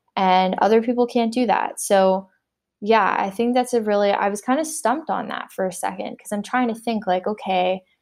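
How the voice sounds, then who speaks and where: A woman uses an ordinary speaking voice with a Canadian accent, medium pitch and ordinary pitch variation. She talks at a moderate pace on a very clean recording with a silent background. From Canada (Windsor, Ontario). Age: 20s. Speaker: entrepreneur. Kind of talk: interview. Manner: casual, many fillers and laughs.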